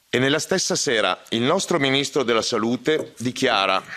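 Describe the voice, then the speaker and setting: A man at medium pitch and a fairly slow pace, with ordinary pitch variation over noticeable background noise. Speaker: doctor. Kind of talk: conference speech.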